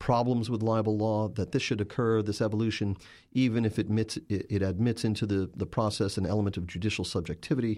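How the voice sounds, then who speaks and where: Against a quiet background, a man with a fairly low pitch and a dark, mellow tone speaks very fast with fairly even intonation. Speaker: journalist and author. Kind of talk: interview.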